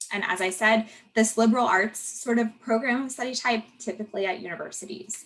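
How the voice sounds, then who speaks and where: Fairly quick, fairly evenly intoned delivery in a plain, everyday voice. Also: woman, fairly high pitch for a woman. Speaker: conference presenter. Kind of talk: online presentation.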